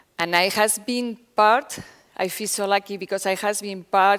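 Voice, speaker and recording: Speaking at a fairly slow pace, a woman talks with a Spanish accent. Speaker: foundation director. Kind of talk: conference talk. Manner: halting.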